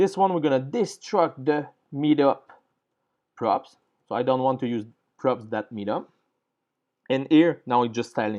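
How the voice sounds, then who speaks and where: In a French accent, a man speaks at a medium pitch with a dark, mellow tone, leaving long, frequent pauses against a quiet background. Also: ordinary pitch variation, moderate pace. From France. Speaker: programming tutorial creator. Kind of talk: coding tutorial. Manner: halting, with fillers.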